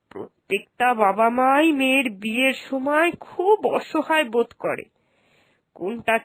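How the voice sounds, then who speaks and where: This is a cartoonish character voice at a fairly slow pace. The sound is dry and close, without echo. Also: woman. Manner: sensible, warm.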